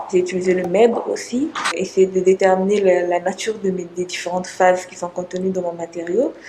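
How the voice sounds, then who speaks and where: Medium-pitched woman at a moderate pace, intonation fairly even, with noticeable background noise. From Congo. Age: 20s. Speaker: PhD student researcher. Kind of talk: interview. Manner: hesitant, many fillers.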